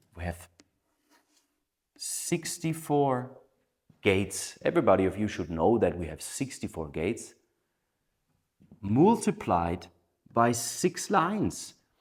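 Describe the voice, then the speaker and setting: A man with a non-native accent and medium pitch speaks at a very slow pace with long, frequent pauses. His pitch swings very widely and his loudness shifts a lot, on a very clean recording with a silent background. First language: not English. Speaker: human design teacher. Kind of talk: lecture.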